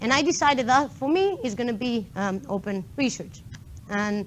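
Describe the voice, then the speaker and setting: A woman with a Greek accent speaks at a high pitch, her voice swinging very widely up and down. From Greece, island of Kos. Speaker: PhD student in mathematics, conference speaker. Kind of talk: tech meetup talk. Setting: stage with live audience.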